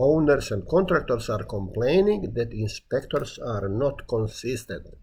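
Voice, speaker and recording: A man speaks at a fairly slow pace and medium pitch, somewhat breathy. His pitch swings very widely. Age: 70s. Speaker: retired building inspector giving a talk. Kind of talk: self-recorded monologue presentation.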